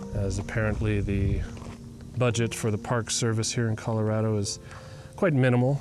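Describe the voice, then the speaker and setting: A man with a quiet, gentle tone and a fairly low pitch speaks at a moderate pace with very even loudness, fairly even intonation, and long, frequent pauses. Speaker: photographer and vlogger. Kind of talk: casual vlog narration. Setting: outdoors.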